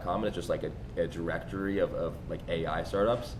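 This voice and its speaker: A man's voice with audible room echo. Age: 20s. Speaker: podcast host, SaaS founder. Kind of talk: podcast interview. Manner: halting, many fillers.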